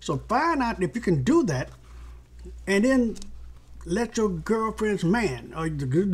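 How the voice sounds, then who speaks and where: At a moderate pace, a man speaks with lively intonation. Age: 70s. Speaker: motivational speaker and relationship author. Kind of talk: direct-to-camera monologue. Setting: home video recording. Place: home room. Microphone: phone near.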